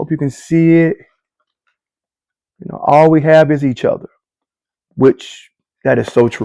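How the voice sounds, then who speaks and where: Big swings in loudness and long, frequent pauses mark this man's animated, fairly high voice, which sounds dry and close with no echo. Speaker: sneaker reviewer. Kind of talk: live product review. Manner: casual, animated.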